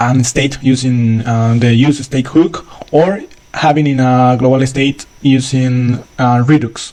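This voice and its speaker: A man with a non-native accent speaks at a fairly slow pace. His tone is dark and mellow, and his intonation is fairly even. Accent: non-native English speaker. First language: not English. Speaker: software developer. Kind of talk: tutorial. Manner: halting, many fillers.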